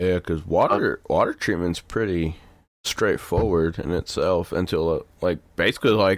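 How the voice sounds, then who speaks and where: A man with an American accent and a very deep, low pitch, fairly even intonation, and moderate pace, on a very clean recording with a silent background. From Texas. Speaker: podcast co-host. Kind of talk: casual chat.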